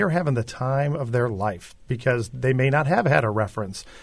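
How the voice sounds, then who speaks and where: A somewhat breathy man talks at a fairly quick pace, his pitch medium with ordinary variation, on a very clean recording with a silent background. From Chicago. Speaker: aquarium executive. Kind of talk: radio interview.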